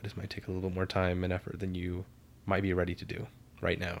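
Mumbling at a fairly quick pace, a man speaks in a very deep, low voice. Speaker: podcast co-host, therapy student. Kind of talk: casual chat.

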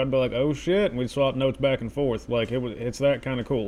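This man's voice is fairly high in pitch, and his delivery moves along at a fairly quick pace. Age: 30s. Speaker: podcast host. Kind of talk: casual commentary while reading an article aloud. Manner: animated. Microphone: very close to the mic.

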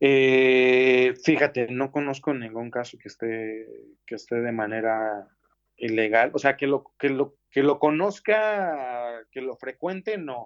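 The voice moves at a very slow pace, with ordinary pitch variation and big swings in loudness. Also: man, medium pitch for a man. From Mexico City. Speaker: graphic designer and art direction student. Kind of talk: interview. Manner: halting.

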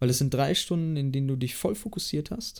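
Somewhat breathy, a man's voice sits at a fairly high pitch with a dark, mellow tone. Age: 20s. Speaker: apprentice industrial clerk. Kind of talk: casual interview.

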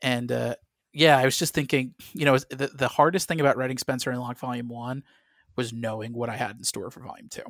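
Talking at a fairly quick pace with an American accent, the speaker shows big swings in loudness on a very clean recording with a silent background and a dry, close sound with no echo. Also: man, medium pitch for a man. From US Midwest, St. Louis, Missouri. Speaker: comic book writer. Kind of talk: interview. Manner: animated.

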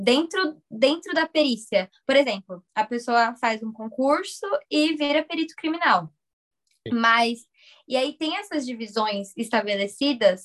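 A woman speaks at a fairly slow pace in a high voice with lively intonation. The sound is dry and close, with no echo. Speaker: podcast co-host. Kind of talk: casual chat.

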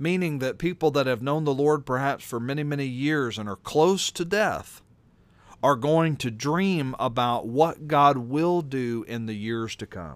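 A man talks at a fairly slow pace with a fairly high pitch and ordinary pitch variation, in an ordinary speaking voice. The recording is very clean, with a silent background. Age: 40s. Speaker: pastor and radio host. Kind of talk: radio talk show with devotional commentary. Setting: radio studio.

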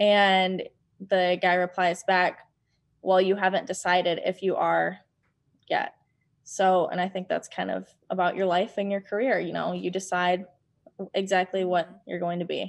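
Speaking in an American accent, a woman with a medium pitch keeps a monotone, flat intonation at a moderate pace, leaving long, frequent pauses against a quiet background. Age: 20s. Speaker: realtor. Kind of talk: interview.

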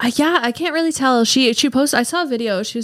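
A woman's high-pitched voice at a very fast pace, with ordinary pitch variation. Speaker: podcast co-host. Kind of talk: casual chat.

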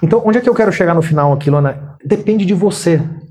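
A man with a high voice speaks with ordinary pitch variation over noticeable background noise. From Brazil, Minas Gerais (Uberaba). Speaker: business executive and author. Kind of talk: interview.

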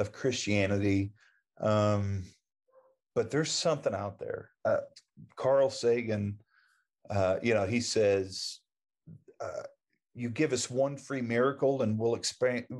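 A man with an American accent speaks at a fairly slow pace and medium pitch. His pitch varies in an ordinary way, and the background is quiet. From Oklahoma, small town. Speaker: survivor of a near-death experience. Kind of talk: casual interview.

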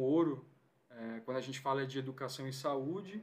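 Using a plain, everyday voice, a man talks at a moderate pace with a fairly high pitch and fairly even intonation. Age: 30s. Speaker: physiotherapist and lecturer. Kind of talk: casual interview.

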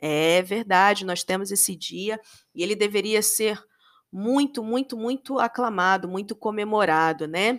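On a very clean recording with a silent background, the speaker has an animated tone, a fairly slow pace and ordinary pitch variation. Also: woman, medium pitch for a woman. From Brazil, Rio de Janeiro. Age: 40s. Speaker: podcast host. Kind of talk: solo podcast monologue.

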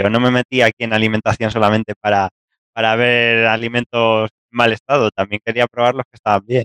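Speaking at a moderate pace, a man with a medium pitch talks in a central Spanish accent. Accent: central Spain Spanish. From Spain, Castilla-La Mancha. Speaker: researcher. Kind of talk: interview.

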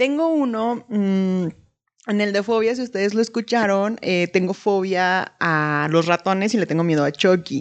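A woman's ordinary speaking voice, medium in pitch, with lively intonation, a fairly slow pace, very even loudness and a quiet background. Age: 20s. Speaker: podcast co-host. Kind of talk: casual chat.

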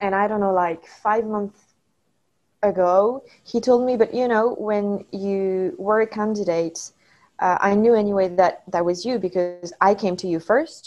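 A woman with a French accent speaks at a medium pitch and a fairly slow pace, with ordinary pitch variation. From France. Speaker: study abroad alumna. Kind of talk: interview.

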